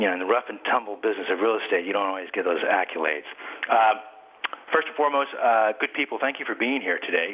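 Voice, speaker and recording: Against noticeable background noise, a man talks at a fairly low pitch. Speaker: real estate broker and author. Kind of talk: webinar presentation. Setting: webinar, audio conference. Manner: fast; halting, many fillers.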